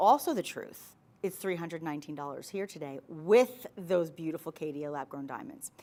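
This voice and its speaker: In a New York accent, the speaker uses an animated tone and lively intonation at a moderate pace, with big swings in loudness. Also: woman, fairly low pitch for a woman. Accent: New York accent, drops T's. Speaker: shopping channel host. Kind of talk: sales pitch.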